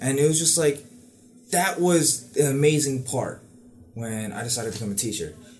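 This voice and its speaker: Speech at a moderate pace with lively intonation, in an American accent. Long, frequent pauses break it up, and the room echo is audible. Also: man, fairly high pitch for a man. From New York City, Queens. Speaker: university student and dancer. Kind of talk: casual chat.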